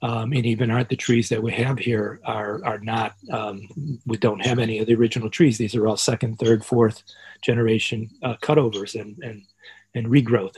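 A man's somewhat breathy, medium-pitched voice with an American accent, fairly even intonation and a moderate pace. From Chicago, US Midwest. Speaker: professor. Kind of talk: interview.

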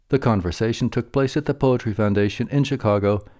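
Recorded very cleanly with a silent background and a dry, close sound with no echo, a man speaks with lively intonation in a fairly low, dark, mellow voice. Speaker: announcer. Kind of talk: scripted announcement.

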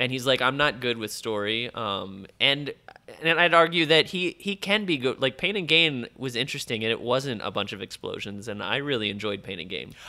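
A man at medium pitch talks at a moderate pace, his pitch swinging very widely. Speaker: podcast host. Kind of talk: casual chat.

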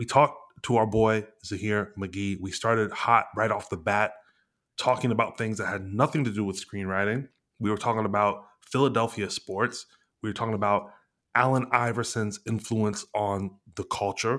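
Fairly low in pitch, a man speaks with fairly even intonation at a moderate pace on a very clean recording with a silent background. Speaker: podcast host and screenwriter. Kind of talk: casual chat.

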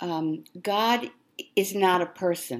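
A woman talks at a very slow pace. Her pitch is fairly low. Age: 80s+. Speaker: actor and theater teacher. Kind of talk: interview. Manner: halting.

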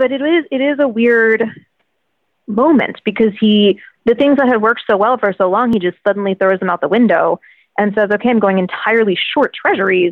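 Using an ordinary speaking voice, a woman with a fairly high pitch talks at a fairly quick pace, with very even loudness and ordinary pitch variation. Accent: American. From Virginia, US. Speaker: financial journalist and author. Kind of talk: interview conversation.

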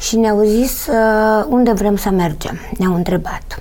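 A woman's fairly high voice at a fairly slow pace, with noticeable background noise. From Romania. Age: 70s. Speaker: retired dance teacher. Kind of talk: interview.

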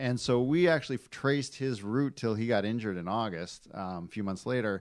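With a normal speaking voice, a man with an American accent speaks in a medium pitch and lively intonation. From Michigan, US. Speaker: car magazine editor. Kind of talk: casual chat.

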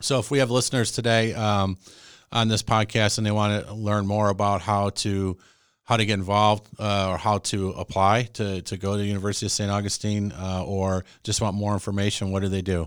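Recorded very cleanly against a silent background, a man with an American accent speaks at a fairly quick pace. His pitch is fairly low and his intonation fairly even. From Chicago, US Midwest. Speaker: chamber of commerce CEO and podcast host. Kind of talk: casual interview, host. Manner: hesitant with filler words.

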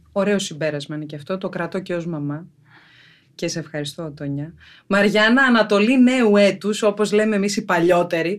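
Speaking at a moderate pace, a woman with an ordinary speaking voice and medium pitch shows big swings in loudness against a quiet background. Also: ordinary pitch variation. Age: 40s. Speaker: podcast host. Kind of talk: casual chat.

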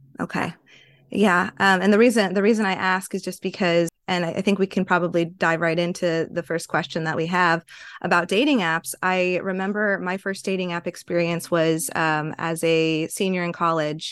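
A woman talks at a moderate pace in an ordinary speaking voice. Her pitch is fairly low, and her intonation is fairly even. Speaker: podcast host, therapist.

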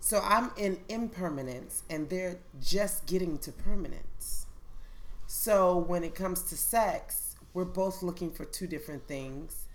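A plain, everyday voice moves at a fairly slow pace with ordinary pitch variation. Its loudness swings widely. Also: woman, medium pitch for a woman. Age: 30s. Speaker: poet and educator. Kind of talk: casual chat.

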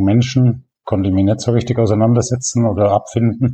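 The man's voice has a dark, mellow tone and sounds somewhat breathy. His intonation stays fairly even. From Allgäu, Bavaria, southern Germany. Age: 60s. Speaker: veterinarian and blogger. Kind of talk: interview.

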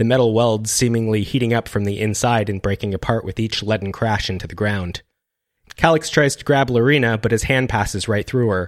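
Speaking fairly quickly, the man keeps his pitch varying in an ordinary way. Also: medium pitch for a man. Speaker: podcast host and fiction writer. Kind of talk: casual chat with reading aloud of his own fiction.

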